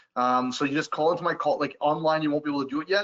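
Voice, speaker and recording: A man speaks at a very fast pace. His pitch is fairly high and varies in an ordinary way. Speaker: travel supplier trainer. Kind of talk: webinar presentation. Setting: online webinar. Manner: casual, filler-heavy.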